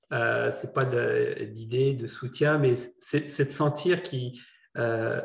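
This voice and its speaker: A man talks in a somewhat breathy voice. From not from Quebec. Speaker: entrepreneur, charity board member. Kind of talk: panel discussion. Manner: halting, many repetitions.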